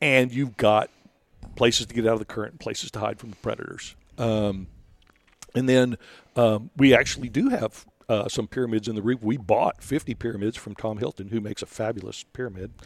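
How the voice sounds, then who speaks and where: Speaking fairly quickly in an unremarkable speaking voice with an American accent, a man keeps a medium pitch and fairly even intonation while his loudness swings widely, the sound dry and close with no echo. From Rio Grande Valley, Texas. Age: 60s. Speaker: reef conservation volunteer leader. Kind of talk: casual interview. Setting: hotel in Austin.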